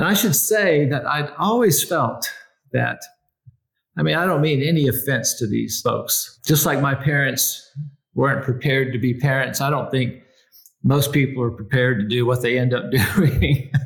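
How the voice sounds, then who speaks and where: At a moderate pace, a man talks in a somewhat breathy, fairly high voice with ordinary pitch variation. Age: 60s. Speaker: executive coach and company founder. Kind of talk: casual interview conversation.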